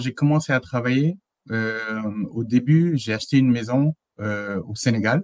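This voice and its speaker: With lively intonation, a man at medium pitch speaks at a fairly slow pace against a quiet background. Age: 30s. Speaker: engineer and consultant; interview guest. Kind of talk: interview testimony. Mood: relaxed, smiling. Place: home room.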